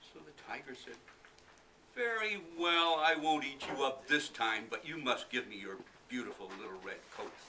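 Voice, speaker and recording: Noticeable background noise runs under the clip. A man's voice swings very widely in pitch. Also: fairly high pitch for a man, moderate pace. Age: 70s. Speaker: library patron reading aloud. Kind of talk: reading aloud; casual talk to audience. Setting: library event with audience.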